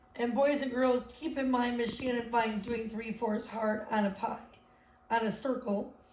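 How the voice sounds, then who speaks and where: A woman's fairly high voice, monotone and flat, at a moderate pace amid audible room echo. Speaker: elementary school teacher. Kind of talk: remote math lesson for children. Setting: live video lesson.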